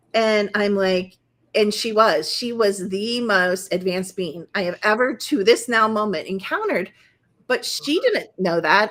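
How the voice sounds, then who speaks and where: A woman's bright, sharp, animated voice at a fairly high pitch and moderate pace. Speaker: naturopathic doctor and energy healer. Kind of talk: interview.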